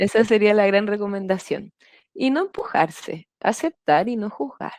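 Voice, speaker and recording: A woman talks at a fairly slow pace in an ordinary speaking voice, medium in pitch, with lively intonation. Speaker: Biodanza facilitator, podcast guest. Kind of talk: interview answer.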